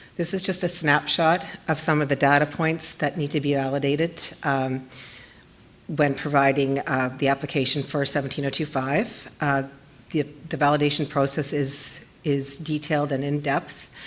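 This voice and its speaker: A woman's very deep, low voice, shaky and monotone with flat intonation, at a moderate pace. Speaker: lab scientist presenting research. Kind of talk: conference presentation. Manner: shaky voice.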